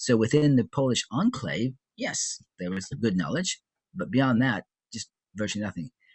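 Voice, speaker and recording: A man with an American accent speaks in a medium pitch at a moderate pace. His voice is somewhat breathy and makes very wide pitch swings. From US Midwest, Chicago. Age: 70s. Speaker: social activist. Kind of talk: interview. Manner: halting, with fillers and restarts.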